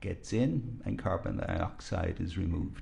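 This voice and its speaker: The recording has audible room echo. The voice carries vocal fry. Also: man. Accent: Irish. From Ireland, rural County Kilkenny. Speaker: physician, expert witness. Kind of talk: courtroom testimony. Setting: courtroom.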